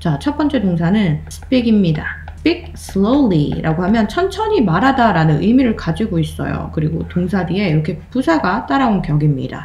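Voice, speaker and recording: Against noticeable background noise and audible room echo, the speaker goes at a moderate pace with very wide pitch swings. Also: woman. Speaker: English grammar teacher. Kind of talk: video lecture.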